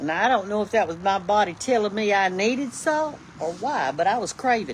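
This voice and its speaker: This woman has a Southern US accent and a fairly high pitch. Her intonation is lively. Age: 70s. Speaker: online cooking personality. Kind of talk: casual livestream chat. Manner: folksy, chatty.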